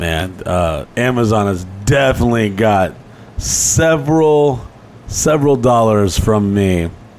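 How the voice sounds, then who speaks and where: Over noticeable background noise, a man talks at a very slow pace. His fairly low voice carries lively intonation. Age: 30s. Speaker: podcast co-host. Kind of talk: casual chat.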